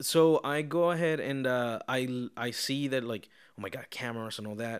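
On a very clean recording with a silent background, a man with a Spanish accent talks at a fairly slow pace, at a medium pitch and with ordinary pitch variation. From Venezuela. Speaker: podcast host. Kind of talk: casual chat. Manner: mumbling, rambling.

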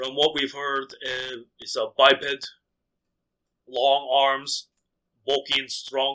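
Using a put-on character voice, a man speaks at a fairly high pitch. He goes at a very slow pace, with long, frequent pauses. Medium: actual play. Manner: terse, focused, impatient.

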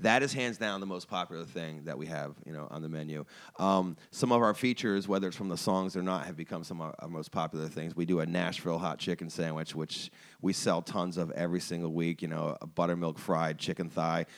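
On a very clean recording with a silent background, a man with an American accent talks fairly quickly in a very deep, low voice, his pitch varying in an ordinary way. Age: 40s. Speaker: chef and restaurant owner. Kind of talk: casual interview chat. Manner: animated.

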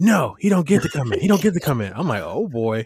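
Speaking at a fairly quick pace, a somewhat breathy man swings his pitch very widely. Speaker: fantasy football podcast host. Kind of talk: casual chat. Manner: casual, conversational.

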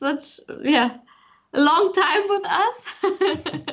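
A woman with a German accent. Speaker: podcast host. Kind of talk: interview. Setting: video call.

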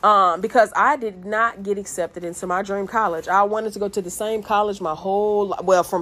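A woman with a normal speaking voice, medium in pitch, at a fairly quick pace. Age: 30s. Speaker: lawyer sharing life story. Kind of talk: personal motivational monologue. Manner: casual, rambling with fillers.

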